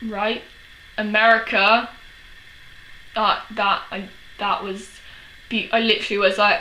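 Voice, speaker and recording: In a London accent, a woman speaks at a fairly slow pace with long, frequent pauses, amid noticeable background noise and audible room echo. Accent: English, Chelsea London. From England, London. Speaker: vlogger. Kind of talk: casual vlog. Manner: animated.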